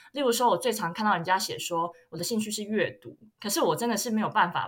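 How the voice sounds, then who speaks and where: A woman with a Taiwanese accent talks at a very fast pace with lively intonation over noticeable background noise. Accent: Taiwanese Mandarin. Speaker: luxury marketing graduate student. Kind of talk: casual chat.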